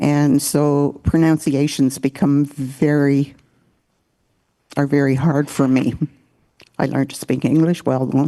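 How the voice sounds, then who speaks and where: A woman's very deep, low voice with a dark, mellow tone, monotone and flat in intonation, very even in loudness, at a fairly slow pace with long, frequent pauses. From Walpole Island First Nation, Ontario. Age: 80s+. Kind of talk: opening address.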